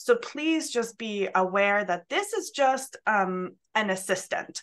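A woman with a Swedish accent, fairly high pitch, lively intonation and a fairly slow pace. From Sweden. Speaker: college instructor. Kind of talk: presentation. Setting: video call. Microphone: video call.

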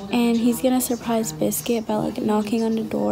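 Behind a woman's voice there is noticeable background noise. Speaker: vlogger. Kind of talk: casual vlog chat. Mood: relaxed, excited about the trip. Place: home room. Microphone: phone near.

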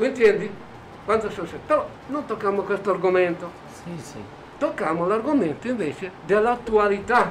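A man with a high voice speaks at a moderate pace with ordinary pitch variation and long, frequent pauses, against noticeable background noise. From Italy. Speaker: neighborhood association president. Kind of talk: interview.

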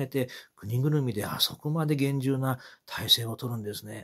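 A man speaks in a somewhat breathy voice with ordinary pitch variation. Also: quiet background. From Japan. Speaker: kabuki commentator. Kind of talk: personal reflection monologue. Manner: halting, many fillers. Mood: reflective, calm. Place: home room. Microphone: phone near.

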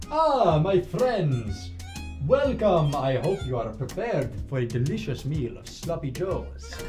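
The speaker uses a put-on character voice at a fairly slow pace. Clear music plays in the background. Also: man. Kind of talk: comedy sketch. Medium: stage. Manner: theatrical, grandiose.

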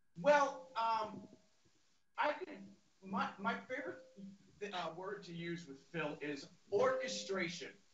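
At a very slow pace with long, frequent pauses, a man with a high pitch speaks in big swings of loudness over noticeable background noise. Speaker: drummer. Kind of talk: casual chat. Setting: video call. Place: home room.

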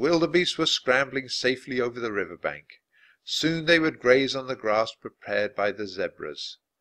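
Against a quiet background, the speaker uses a natural reading voice with lively intonation.

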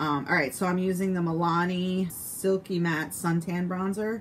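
With noticeable noise behind it, the talking moves along at a moderate speed. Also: woman. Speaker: beauty vlogger. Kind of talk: casual makeup tutorial chat. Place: home room. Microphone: phone near.

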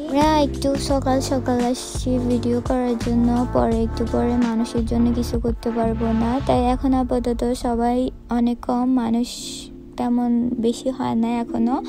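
A woman speaks in a dry sound with no echo. Clear music plays in the background. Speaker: vlogger. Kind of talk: casual vlog talk to camera. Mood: cheerful, excited. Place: hall. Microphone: phone near.

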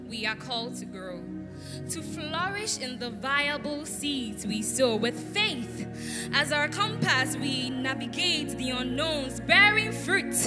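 Clear music plays in the background as the speaker talks at a very slow pace. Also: woman. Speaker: spoken word poet. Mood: devotional, uplifting. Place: stage. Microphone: handheld.

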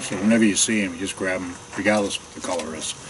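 Over noticeable background noise, a man speaks at a very fast pace with a fairly low pitch and ordinary pitch variation. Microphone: phone near.

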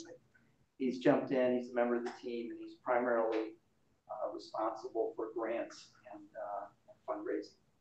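With a slightly mellow tone, a man talks at a moderate pace and medium pitch, keeping fairly even intonation amid audible room echo.

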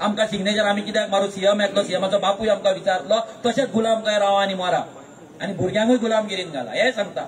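Over light background noise, a man talks in a voice that sits high in pitch. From Goa. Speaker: activist political leader; speaker. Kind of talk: political rally speech; political speech. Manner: loud, animated. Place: stage. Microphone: pa.

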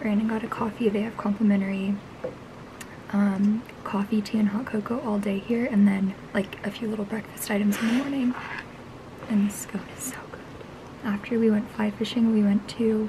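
Amid noticeable background noise, a woman speaks at a moderate pace in a monotone, flat intonation with long, frequent pauses. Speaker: travel vlogger. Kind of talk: casual vlog chat. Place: street. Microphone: phone near.

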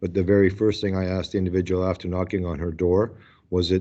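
A man's very deep, low voice, dark and mellow in tone, flat and monotone over a quiet background. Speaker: town mayor. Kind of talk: council meeting discussion. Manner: halting.

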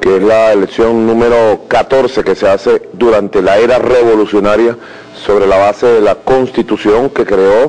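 This man talks at a fairly slow pace in a flat, monotone way, keeping his loudness very even throughout. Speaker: government minister. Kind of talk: press statement. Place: hall. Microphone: handheld.

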